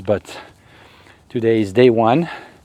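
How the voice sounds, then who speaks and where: With a French accent, a man speaks at medium pitch, the sound dry and close with no echo. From Africa. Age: 50s. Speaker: YouTuber. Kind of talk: casual vlog monologue. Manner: hesitant with fillers.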